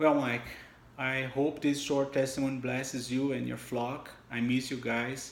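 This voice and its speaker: A man of medium pitch speaks at a fairly slow pace with a strong non-native accent and monotone, flat intonation. Room echo is audible. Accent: heavy foreign. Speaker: church member giving testimony. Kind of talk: testimony. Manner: halting.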